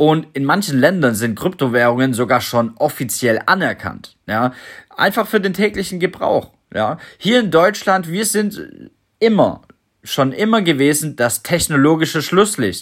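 A man talks at a fairly slow pace in a fairly high pitch, with very wide pitch swings. The recording is very clean, with a silent background. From Germany, Stuttgart. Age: 30s. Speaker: crypto podcaster. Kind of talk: solo podcast monologue.

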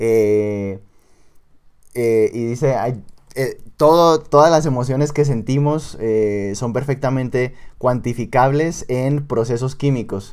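A man speaks very slowly at a medium pitch with ordinary pitch variation. His speech has long, frequent pauses. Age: 20s. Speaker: podcast co-host, university student. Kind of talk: casual chat.

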